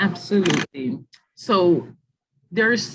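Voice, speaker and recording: This woman's voice sits at a medium pitch. It comes across as somewhat breathy. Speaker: webinar presenter on graduate school admissions. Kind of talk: online info session with Q&A.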